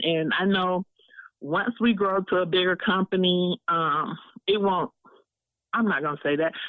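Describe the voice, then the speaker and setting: In an American accent, a woman with an ordinary speaking voice talks at a moderate pace and medium pitch, with ordinary pitch variation. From Alabama, then Detroit from age 10. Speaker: business owner. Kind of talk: interview.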